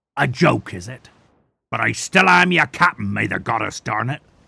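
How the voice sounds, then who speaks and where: Using a put-on character voice, a man sounds raspy at a medium pitch. His pace is moderate. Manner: angry, growling.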